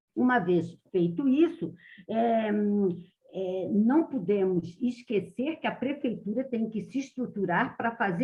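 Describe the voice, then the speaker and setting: A woman's fairly high, somewhat breathy voice, fairly slow and with lively intonation. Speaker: public transport specialist. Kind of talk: meeting presentation.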